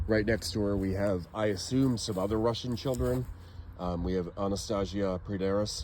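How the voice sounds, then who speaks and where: A man in a Maine accent, dark and mellow in tone, with fairly even intonation at a moderate pace. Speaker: genealogy and cemetery vlogger. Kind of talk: casual walking vlog. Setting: outdoors in a cemetery.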